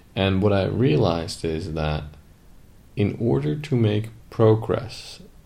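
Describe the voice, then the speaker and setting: A man speaks in a fairly low pitch with a dark, mellow tone and lively intonation. Room echo is audible. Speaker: podcast co-host, business coach. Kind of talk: casual chat.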